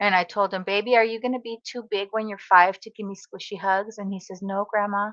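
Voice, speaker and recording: An animated woman with an American accent, fairly high pitch and a fairly quick pace, in a dry, close sound with no echo against a quiet background. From Southern California. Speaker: craft content creator. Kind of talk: livestream casual chat. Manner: chatty, animated.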